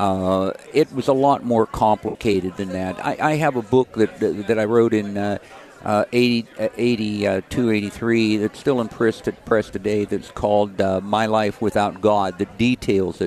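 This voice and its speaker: Over noticeable background noise, a man with an American accent talks at a fairly slow pace. His pitch is fairly low and his intonation fairly even. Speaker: activist and charity worker. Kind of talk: interview testimony. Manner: halting, repeats words.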